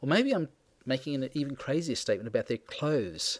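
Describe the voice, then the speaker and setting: A man in an Australian accent speaks at a fairly quick pace on a very clean recording with a silent background and a dry, close sound with no echo. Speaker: book reviewer. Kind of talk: reading aloud of personal essay. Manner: wry, sardonic delivery.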